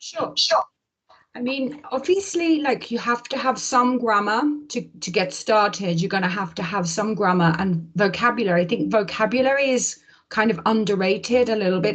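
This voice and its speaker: Somewhat breathy, a woman speaks with a medium pitch. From English Midlands. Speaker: English teacher. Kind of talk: casual interview conversation.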